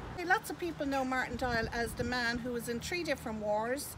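Amid loud background noise, a woman with an Irish accent and a high pitch speaks at a fairly quick pace with ordinary pitch variation. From Ireland. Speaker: tour guide. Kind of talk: guided tour talk. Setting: outdoors. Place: open country.

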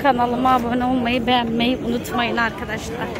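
A woman speaking at a moderate pace, with crowd noise in the background and a dry sound with no echo. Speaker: vlogger filming a shopping trip. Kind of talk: casual vlog chat. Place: market. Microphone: phone near.

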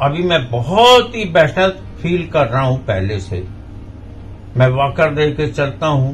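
A man with a fairly high pitch, very wide pitch swings and a very slow pace, over light background noise. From India, Madhya Pradesh (Jabalpur); Madhya Pradesh, India. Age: 70s. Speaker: patient. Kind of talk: testimonial. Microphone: phone near.

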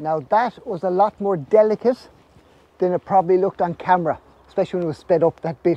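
Very fast and high-pitched, a man with an Irish accent speaks in a dark, mellow tone with ordinary pitch variation and a dry sound with no echo. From Ireland. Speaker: snail farmer. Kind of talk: vlog narration. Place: farm machine. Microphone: phone near.

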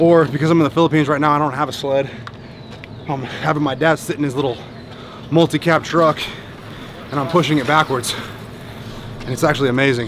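A man talks at a very fast pace in a flat, monotone delivery. The sound is dry with no echo, and background noise is noticeable. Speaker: fitness coach vlogger. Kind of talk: tutorial. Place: street. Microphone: phone near.

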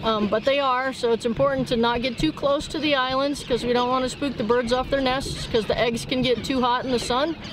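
A woman's high-pitched voice at a fairly quick pace, fairly even in intonation, dry with no echo, amid noticeable background noise. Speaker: forest biologist. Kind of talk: explanatory demonstration. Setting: outdoors in forest. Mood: calm, friendly. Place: boat.

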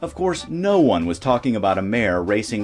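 A man speaks at a moderate pace, his pitch swinging very widely. Noticeable background noise runs underneath. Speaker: narrator. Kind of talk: documentary narration.

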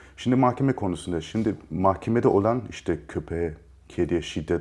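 With a slight German accent, a man talks at a moderate pace. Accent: slight German-Turkish. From Germany, Munich. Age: 30s. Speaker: actor and producer, animal rights activist. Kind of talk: interview conversation.

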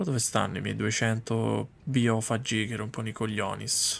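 At a moderate pace, a man speaks with fairly low pitch, fairly even intonation, a fairly bright tone and vocal fry.

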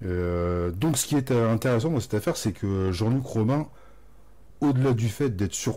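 On a very clean recording with a silent background, a man with medium pitch uses lively intonation and a dark, mellow tone. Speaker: YouTube channel host. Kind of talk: video intro narration. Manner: enthusiastic, casual.

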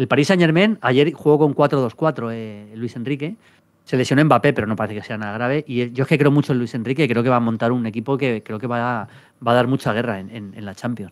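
Against a quiet background, a man speaks at a fairly quick pace with big swings in loudness and ordinary pitch variation. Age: 50s. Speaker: football pundit. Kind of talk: casual chat. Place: studio. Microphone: studio mic.

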